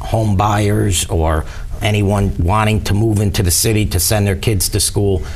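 A man with a plain, everyday voice speaks at a fairly slow pace in a fairly low pitch. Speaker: candidate. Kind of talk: interview answer. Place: studio. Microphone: lapel.

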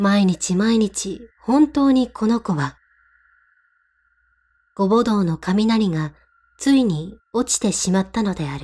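Breathy to some degree, a woman at a medium pitch speaks at a very slow pace with lively intonation and long, frequent pauses. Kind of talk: ghost story reading.

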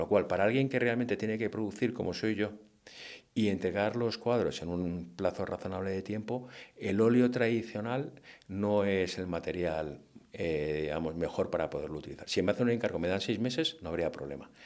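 A man speaks at a moderate pace and fairly low pitch with ordinary pitch variation. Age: 50s. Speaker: hunting-themed painter. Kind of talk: interview conversation. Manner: hesitant with many fillers.

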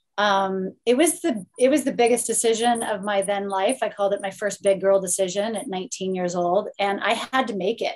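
A woman with a Californian accent speaks at a moderate pace with hardly any pauses against a quiet background. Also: ordinary pitch variation. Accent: American (Californian). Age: 40s. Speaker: Olympic swimmer, TV broadcaster; guest. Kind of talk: panel discussion. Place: home room. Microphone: webcam.

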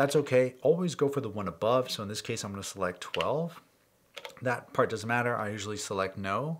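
A man at a fairly quick pace with lively intonation over light background noise. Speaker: music gear youtuber. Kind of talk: tutorial. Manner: fast; casual. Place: studio.

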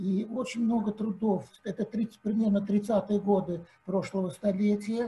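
A man talks at a fairly slow pace in a high pitch. His intonation is monotone and flat. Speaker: seminar audience member; audience member. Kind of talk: Q&A discussion. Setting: video call. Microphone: video call.

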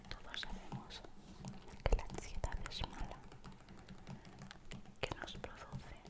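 Very slow speech broken by long, frequent pauses. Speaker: ASMR creator. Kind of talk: ASMR whisper video.

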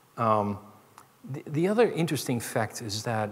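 A man's somewhat breathy voice moves with lively intonation. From Netherlands. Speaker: chief information security officer; keynote speaker. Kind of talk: keynote speech. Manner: hesitant, many fillers. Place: stage. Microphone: headset.

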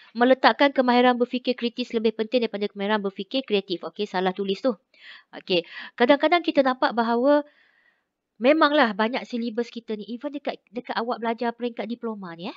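A woman talks at a very fast pace in a fairly high pitch, with ordinary pitch variation and a quiet background. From Malaysia. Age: 40s. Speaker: lecturer. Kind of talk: lecture. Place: home room. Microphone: video call.

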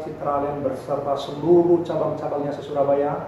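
With audible room echo and light background noise, a man speaks in a monotone, flat intonation. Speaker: pastor. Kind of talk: sermon greeting and prayer. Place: home room. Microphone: camera far.

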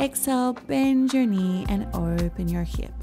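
With clear music behind her, the woman talks at a fairly slow pace. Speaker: yoga instructor. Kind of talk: guided yoga class instruction.

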